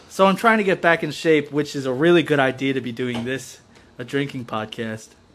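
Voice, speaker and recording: Noticeable background noise sits behind a man's voice. He talks at a fairly quick pace in a fairly high pitch, with ordinary pitch variation. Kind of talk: stand-up style riffing, crude comic banter to a live chat.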